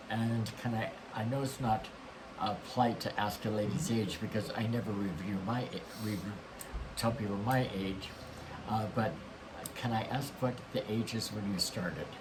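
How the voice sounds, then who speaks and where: A man speaks at a moderate pace with fairly low pitch and ordinary pitch variation. There are long, frequent pauses and noticeable background noise. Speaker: talk show host. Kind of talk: interview host talk.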